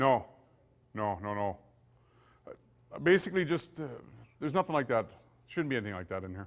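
A man with a Canadian accent speaks at a fairly quick pace, broken by long, frequent pauses, over a quiet background. His pitch swings very widely and his loudness shifts a lot. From Saskatchewan, Canada. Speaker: police forensic investigator; police forensics instructor. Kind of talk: lecture. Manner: casual and conversational, with many fillers. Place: meeting room.

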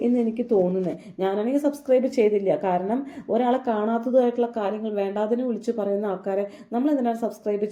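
A fairly high woman's voice of dark, mellow tone. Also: ordinary pitch variation. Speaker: YouTube commentary vlogger. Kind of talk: commentary on controversy.

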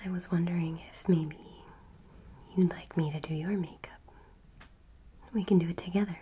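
A woman's fairly low, somewhat breathy voice with a dark, mellow tone, monotone, flat intonation and long, frequent pauses, over light background noise. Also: moderate pace. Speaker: ASMR artist. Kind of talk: ASMR personal attention role play. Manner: whispered, soft-spoken; quiet, cozy. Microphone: studio mic.

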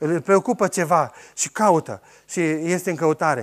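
Against a silent background on a very clean recording, a man with a fairly high pitch talks at a very slow pace. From Romania, Oradea. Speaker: organic farmer. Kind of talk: talk to audience. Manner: halting.

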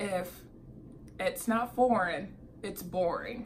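A woman's medium-pitched voice at a slow pace, with ordinary pitch variation and faint background noise.

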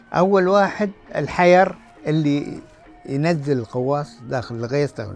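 With faint music in the background and a dry sound with no echo, someone with a Qatari accent speaks at a very slow pace. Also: man. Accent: Qatari Gulf Arabic. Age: 80s+. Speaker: former pearl diver and bodybuilder. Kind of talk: interview answer. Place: shop.

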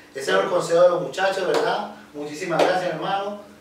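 There is audible room echo and light background noise as a man speaks with ordinary pitch variation. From Venezuela, Caracas. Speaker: percussionist, channel host; channel host. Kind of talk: interview. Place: home room.

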